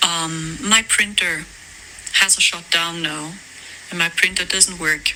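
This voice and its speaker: Very slow speech in a German accent, with long, frequent pauses over noticeable background noise. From Germany. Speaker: spiritual content creator. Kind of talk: casual vlog monologue. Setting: voice messages.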